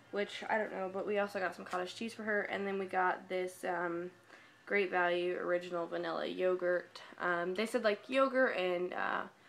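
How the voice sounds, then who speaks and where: A woman's intonation stays fairly even as she talks at a moderate speed. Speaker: vlogger. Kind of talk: casual vlog chat. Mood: calm, a bit subdued. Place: home room. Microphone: webcam.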